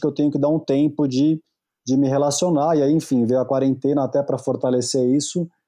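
The voice has a dark, mellow tone and a fairly quick pace. Its intonation is monotone and flat. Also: man, quiet background. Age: 40s. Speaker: therapist and speaker on masculinity. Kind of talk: casual chat.

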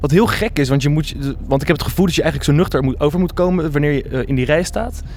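Against noticeable background noise, a man talks very fast at a fairly high pitch with ordinary pitch variation. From Netherlands, The Hague. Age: 20s. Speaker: theatre-making student. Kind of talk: casual chat.

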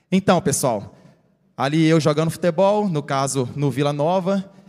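Speaking at a moderate pace, a man uses an ordinary speaking voice, fairly high in pitch with ordinary variation. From Rio Maria, Pará, northern Brazil. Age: 30s. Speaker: sports physiotherapist, former footballer. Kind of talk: health talk at church workshop. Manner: informal, repetitive filler words.

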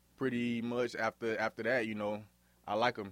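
An American accent in a monotone, flat intonation at a moderate pace, on a very clean recording with a silent background. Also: man. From Miami, Florida (Liberty City). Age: 20s. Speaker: college football player. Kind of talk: casual interview.

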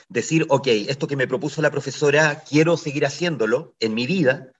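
Fairly high-pitched male speech. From Chile, Ovalle (Coquimbo region). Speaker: actor and theatre director. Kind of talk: radio interview. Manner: halting, many repetitions and fillers.

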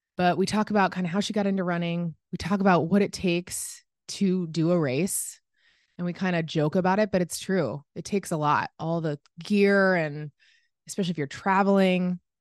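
A woman with a plain, everyday voice and fairly low pitch speaks at a moderate pace with fairly even intonation, sounding dry and close with no echo over a quiet background. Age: 30s. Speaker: podcast host. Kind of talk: casual interview. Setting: remote call.

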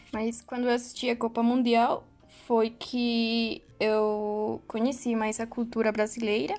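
A woman's very slow, monotone delivery with flat intonation, in a Mexican accent. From Mexico. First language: Spanish (speaking Portuguese). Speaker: university student. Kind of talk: casual chat. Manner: halting.

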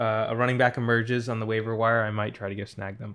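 The man's medium-pitched voice stays monotone, with flat intonation. The recording is very clean, with a silent background. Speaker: co-host. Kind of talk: casual sports recap chat.

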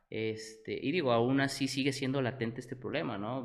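A man at a medium pitch, fairly even in intonation, with audible room echo. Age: 20s. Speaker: entrepreneur, tequila brand founder. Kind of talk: interview.

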